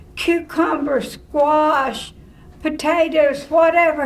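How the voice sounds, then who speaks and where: Speaking very slowly in a rural Tennessee accent, a woman is heard with noticeable background noise and audible room echo. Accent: Southern US (rural Tennessee). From Tennessee, Cheatham County (rural). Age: 80s+. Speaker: retired drama teacher. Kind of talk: interview.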